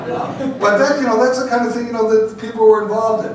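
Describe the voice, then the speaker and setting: A man's high-pitched voice with an American accent, audible room echo and noticeable background noise. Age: 60s. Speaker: pinball industry executive. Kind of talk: panel talk, storytelling. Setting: seminar with audience. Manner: halting with many fillers. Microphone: poor audio.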